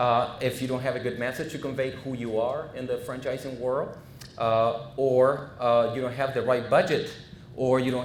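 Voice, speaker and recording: With a Spanish accent, a man at medium pitch speaks at a moderate pace and with fairly even intonation, amid audible room echo and noticeable background noise. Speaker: franchise consultant. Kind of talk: business presentation. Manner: halting, many fillers.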